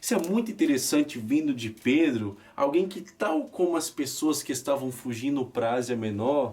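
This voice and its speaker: A man speaks at a moderate pace with a fairly high pitch and lively intonation, in a plain, everyday voice. He leaves hardly any pauses. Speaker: preacher. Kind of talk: sermon.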